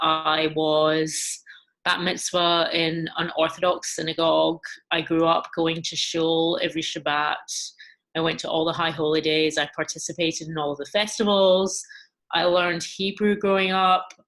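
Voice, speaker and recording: Her Glaswegian accent comes through as a woman talks at a moderate pace, with fairly low pitch and monotone, flat intonation. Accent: Glaswegian Scottish. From Scotland, Glasgow. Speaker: music journalist. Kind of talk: interview.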